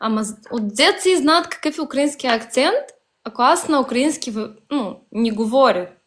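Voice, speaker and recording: A woman speaks with a high pitch and lively intonation. Her pace is fairly slow. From Bessarabia, southern Ukraine. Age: young. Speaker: Bessarabian Bulgarian social media user. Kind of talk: casual interview. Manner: halting.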